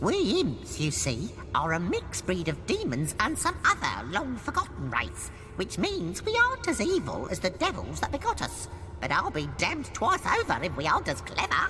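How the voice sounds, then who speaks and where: Someone uses a put-on character voice at a moderate pace. Loud background noise sits behind it. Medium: machinima. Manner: theatrical, chatty, wry.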